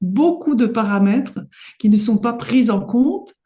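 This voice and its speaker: A woman speaks at a fairly high pitch with lively intonation. Her voice is somewhat breathy and her pace fairly slow. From Paris, France. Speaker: homeopath. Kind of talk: interview.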